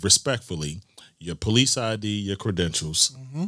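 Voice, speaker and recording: In a very clean recording with a silent background, a man speaks at a fairly low pitch with a bright, sharp tone. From Baltimore, East Baltimore. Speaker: police sergeant, Navy veteran. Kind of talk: casual interview chat.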